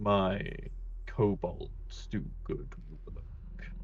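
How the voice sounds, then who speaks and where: A man delivers a put-on character voice while clear background noise plays behind him. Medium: actual play. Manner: unhurried, condescending.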